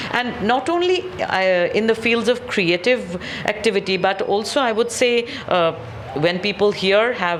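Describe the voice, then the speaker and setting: Through noticeable background noise, a woman with a fairly high pitch talks at a moderate pace, her pitch swinging very widely. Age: 60s. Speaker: theatre group director. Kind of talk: interview.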